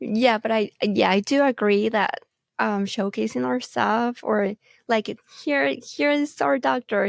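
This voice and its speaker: Lively intonation marks this fairly slow speaker with a Mexican accent, recorded in a dry, close sound with no echo. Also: woman, very clean recording, silent background. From Mexico, Mexicali. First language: Spanish. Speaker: medical photographer and marketing staff. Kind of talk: casual interview chat.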